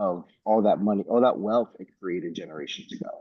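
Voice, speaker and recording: This man's pitch shows ordinary variation. He talks fairly quickly. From New York (Bronx) and Dominican Republic. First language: Spanish. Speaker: travel company founder. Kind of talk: panel discussion. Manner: many fillers like 'like' and 'um'.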